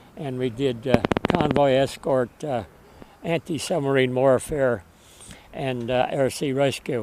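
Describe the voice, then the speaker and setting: Pausing long and often, a man with an American accent speaks at a fairly slow pace over noticeable background noise. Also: medium pitch for a man, ordinary pitch variation. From Connecticut, US. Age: 80s+. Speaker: war veteran. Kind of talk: interview. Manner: halting, many fillers.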